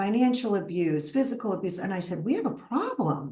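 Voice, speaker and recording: In a strong Brooklyn accent, a woman speaks at a fairly quick pace and medium pitch with very wide pitch swings. Audible room echo surrounds her voice. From US, Brooklyn, New York. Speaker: psychotherapist. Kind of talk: interview.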